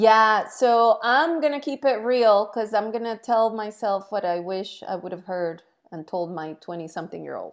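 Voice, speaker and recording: With a Spanish accent, a woman talks at a fairly high pitch, her intonation lively and her loudness swinging widely. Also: moderate pace, very clean recording, silent background. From Colombia. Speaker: entrepreneur and TV commentator. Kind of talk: interview.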